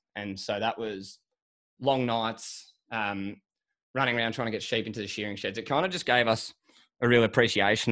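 A man with an Australian accent talks at a fairly quick pace, his pitch fairly low and his intonation fairly even. The recording is very clean, with a silent background. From Australia, Sydney. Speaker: agriculture podcast host and agribusiness consultant. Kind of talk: interview.

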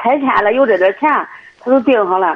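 With an ordinary speaking voice, a woman talks at a moderate pace and a fairly high pitch. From Cangzhou, Hebei. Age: 60s. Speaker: caller seeking family advice. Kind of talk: phone-in call.

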